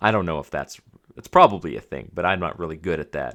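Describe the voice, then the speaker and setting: The man's tone is bright and sharp. His recording is very clean and the background silent. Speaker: podcast host. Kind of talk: solo podcast talk. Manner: casual, with fillers.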